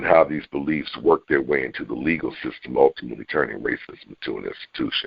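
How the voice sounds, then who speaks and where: A man's very fast delivery with hardly any pauses. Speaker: author and filmmaker. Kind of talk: podcast interview. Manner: animated; halting.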